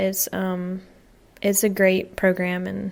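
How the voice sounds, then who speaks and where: On a very clean recording with a silent background, a woman with a Southern US accent speaks at medium pitch. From US South. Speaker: American expat. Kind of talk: podcast interview.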